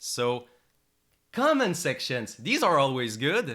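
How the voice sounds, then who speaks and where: A man with a non-native accent speaks in a medium pitch. His tone is bright and sharp, with very wide pitch swings. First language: not English. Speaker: psychology teacher and reaction youtuber. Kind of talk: reaction commentary. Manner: animated, fluctuating tone; loud at times.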